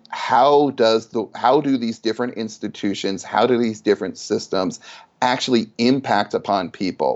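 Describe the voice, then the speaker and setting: He speaks at a moderate pace, his pitch medium and its variation ordinary. The man has an ordinary speaking voice. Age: 50s. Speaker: sociology professor. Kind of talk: interview.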